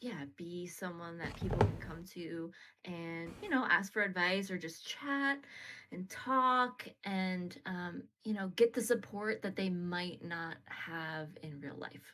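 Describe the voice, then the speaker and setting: A woman with an American accent speaks very slowly in a bright, sharp tone, with lively intonation and big swings in loudness. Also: medium pitch for a woman. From US East Coast. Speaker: streamer. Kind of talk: live stream interview.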